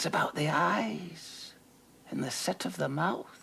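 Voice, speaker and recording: A put-on character voice comes out as a whisper. The pace is fairly slow. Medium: audio drama. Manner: insinuating, knowing.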